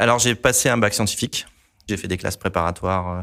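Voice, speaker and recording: Very fast speech comes from a man at fairly low pitch with ordinary pitch variation. The recording is very clean with a silent background. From La Réunion. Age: 40s. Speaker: environmental engineer. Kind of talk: interview testimony. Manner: hesitant, frequent filler sounds.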